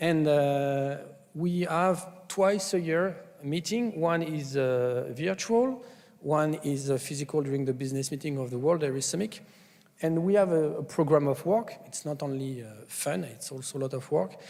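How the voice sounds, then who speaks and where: Audible room echo surrounds a man with a fairly high pitch, ordinary pitch variation and a moderate pace. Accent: French. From France. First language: French. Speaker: food safety scientist, conference speaker. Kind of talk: conference presentation. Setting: conference stage with audience. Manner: hesitant, many fillers.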